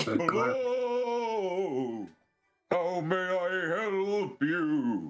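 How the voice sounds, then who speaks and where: Over music in the background, someone uses a put-on character voice at a middle pitch. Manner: polite, welcoming.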